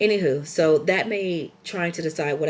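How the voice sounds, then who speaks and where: A woman talks with ordinary pitch variation. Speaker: vlogger. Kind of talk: casual chat.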